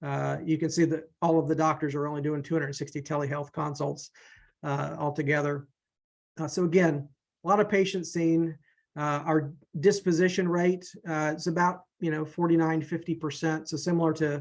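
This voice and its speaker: This man has a fairly high pitch. His intonation stays monotone and flat over a quiet background. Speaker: EMS physician. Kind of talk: webinar presentation. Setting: online webinar. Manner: fast.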